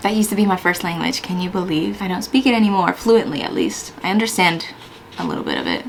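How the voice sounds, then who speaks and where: A woman talks very fast with an American accent. Noticeable background noise is present. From US Pacific Northwest (Washington). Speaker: Air Force firefighter and YouTuber. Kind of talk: casual Q&A vlog. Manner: casual, chatty.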